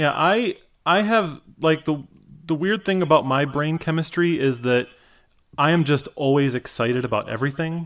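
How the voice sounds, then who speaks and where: This man speaks with a Midwestern American accent in a fairly high voice. His pace is moderate and his pitch varies in an ordinary way. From US Midwest, Michigan. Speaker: cartoonist and writer. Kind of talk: casual interview chat. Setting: video call.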